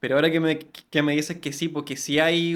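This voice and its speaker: A man with a Chilean accent, fairly high in pitch, fast-ish and monotone, flat in intonation, on a very clean recording with a silent background. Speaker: podcast host. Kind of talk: interview conversation.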